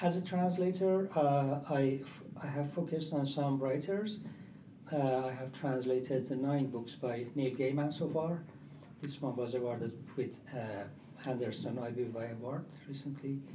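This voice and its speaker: A man with a Persian accent talks at a fairly slow pace. The room echo is audible and the background noise is noticeable. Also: fairly high pitch for a man, ordinary pitch variation. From Iran. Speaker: publisher and translator. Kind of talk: panel discussion. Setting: stage with audience at book fair.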